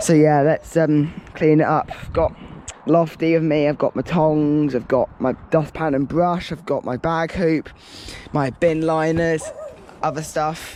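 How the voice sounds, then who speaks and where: Over noticeable background noise, a man with a southern English accent talks at a fairly slow pace in a fairly high, monotone, flat voice. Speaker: litter-picking vlogger. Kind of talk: casual vlog narration. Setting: outdoors. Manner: loud.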